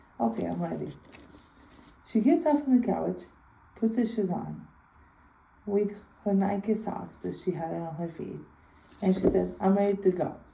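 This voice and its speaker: Audible room echo surrounds a woman speaking at a moderate pace with long, frequent pauses. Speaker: video blogger. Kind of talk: personal storytelling. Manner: halting.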